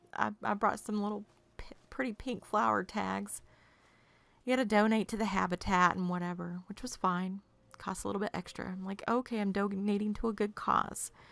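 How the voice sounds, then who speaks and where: A woman at medium pitch and moderate pace with an American accent. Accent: Southern US accent, stronger when tired. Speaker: video game streamer. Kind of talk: casual chat. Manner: animated.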